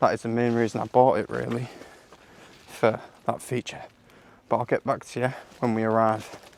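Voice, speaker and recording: A man with a British accent talks at a fairly quick pace in a medium pitch, his intonation monotone and flat. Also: long, frequent pauses. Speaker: outdoor vlogger. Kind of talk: vlog narration. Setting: outdoors in woods and bunker.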